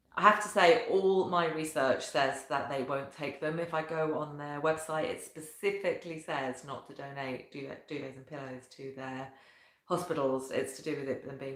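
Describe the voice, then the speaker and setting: A woman with a very deep, low voice speaks at a fairly quick pace. Her pitch varies in an ordinary way, and room echo is audible. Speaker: professional organiser. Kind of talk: talking-head video tutorial.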